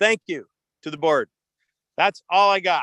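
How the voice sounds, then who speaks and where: A man at a moderate pace, bright and sharp in tone, with a dry, close sound with no echo and a quiet background. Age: 60s. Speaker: criminal defense attorney and pilot giving public comment. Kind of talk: public comment at a board meeting. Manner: halting, many fillers.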